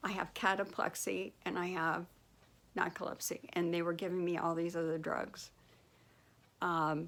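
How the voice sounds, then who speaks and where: Recorded very cleanly against a silent background, a woman with an ordinary speaking voice speaks at a medium pitch and a fairly slow pace. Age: 60s. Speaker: vlogger with narcolepsy. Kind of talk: personal testimony.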